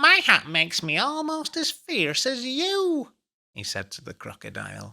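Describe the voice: A put-on character voice from a male speaker, moderate in pace and extremely high-pitched.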